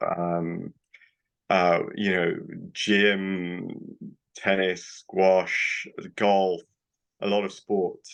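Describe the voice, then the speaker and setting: With a British accent, a man speaks at a very slow pace, leaving long, frequent pauses. His very deep, low voice stays monotone and flat. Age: 60s. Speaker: doctor. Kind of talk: interview.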